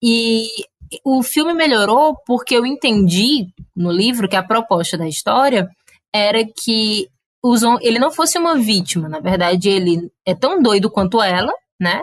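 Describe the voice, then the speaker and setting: A woman speaks in a strong Cariri accent at a fairly slow pace. Her fairly high pitch moves in very wide swings. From Cariri, Ceará, Brazil. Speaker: podcast guest, film fan. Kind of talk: casual chat.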